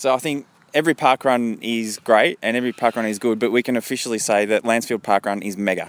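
Speaking at a very fast pace, a man with a medium pitch and ordinary pitch variation sounds dry and close, with no echo. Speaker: podcast reporter at a local event. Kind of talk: on-location report and interviews. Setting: outdoors at event.

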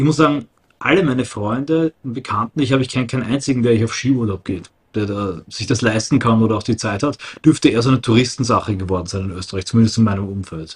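A man's somewhat breathy voice at a very fast pace, with ordinary pitch variation. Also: medium pitch for a man. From Austria. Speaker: political activist. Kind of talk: casual chat.

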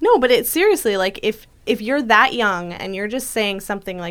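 A woman uses an unremarkable speaking voice, talking neither fast nor slow but at a moderate pace. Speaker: podcast host. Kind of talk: casual chat. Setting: studio.

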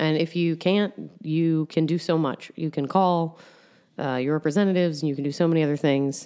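With an American accent, a woman speaks fairly quickly in a very deep, low pitch, her tone dark and mellow and her intonation fairly even. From upstate New York. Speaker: comedian. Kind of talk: casual chat.

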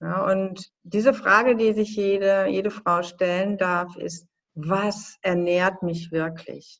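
Her intonation fairly even, a woman talks at a very slow pace. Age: 50s. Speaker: filmmaker. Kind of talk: interview.

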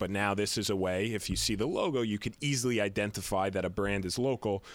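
In a very clean recording with a silent background, a man with a plain, everyday voice and fairly low pitch speaks at a moderate pace with ordinary pitch variation. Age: 30s. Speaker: business founder. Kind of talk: casual chat.

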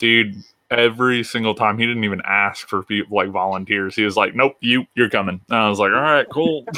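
This man talks at a fairly quick pace with a fairly low pitch. He has an unremarkable speaking voice. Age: 20s. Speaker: podcast co-host. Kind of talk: casual chat.

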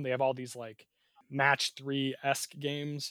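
This man speaks at a moderate pace with a fairly high pitch and a normal speaking voice, recorded in a dry, close sound with no echo. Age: 20s. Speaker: podcast co-host. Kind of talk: casual chat. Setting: remote recording.

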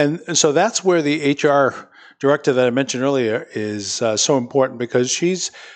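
Pitched fairly high, a man with a plain, everyday voice speaks at a moderate pace. His pitch varies in an ordinary way over a quiet background. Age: 60s. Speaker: city mayor. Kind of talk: interview. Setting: studio with live audience.

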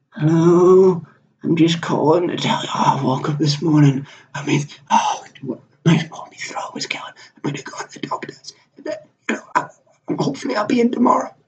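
Using a put-on character voice, a man speaks in a high, croaky pitch at a moderate pace with long, frequent pauses.

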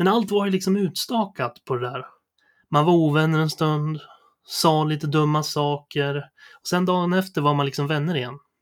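Speaking at a moderate pace, a man uses a normal speaking voice. His fairly high pitch shows ordinary pitch variation. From Sweden, Sundsvall area (Medelpad). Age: 30s. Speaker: podcast host. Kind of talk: personal monologue, scripted narration.

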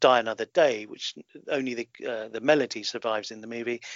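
A man speaks with a southern English accent. His pitch sits in the medium range. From London, England. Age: 40s. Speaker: film consultant and author. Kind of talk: interview.

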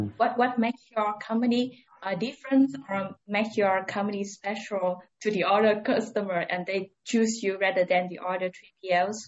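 A woman with a normal speaking voice talks at a medium pitch, her intonation fairly even and hardly any pauses breaking her speech. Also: moderate pace. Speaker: logistics analyst, co-host. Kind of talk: interview.

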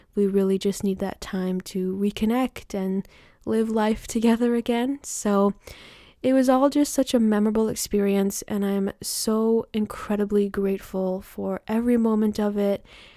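In a dry, close sound with no echo on a very clean recording with a silent background, a woman speaks at a moderate pace with fairly even intonation and a warm, dark, mellow tone. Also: medium pitch for a woman. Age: 20s. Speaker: self empowerment coach and podcast host. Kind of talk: solo podcast monologue, personal life update. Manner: warm, reflective.

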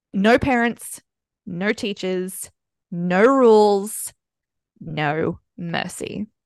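A woman with an Australian accent, medium-pitched and very slow, with ordinary pitch variation, long and frequent pauses, and a dry, close sound with no echo. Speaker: podcast host. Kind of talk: casual chat.

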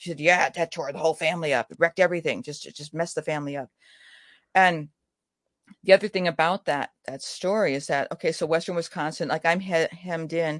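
A woman with an American accent at a very fast pace, big swings in loudness and ordinary pitch variation, the sound dry and close with no echo against a quiet background. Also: fairly low pitch for a woman. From US Midwest. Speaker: writer. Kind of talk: interview.

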